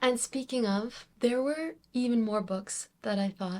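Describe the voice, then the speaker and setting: A woman talks at a fairly slow pace with an ordinary speaking voice and ordinary pitch variation. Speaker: book reviewer. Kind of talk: reading wrap-up video.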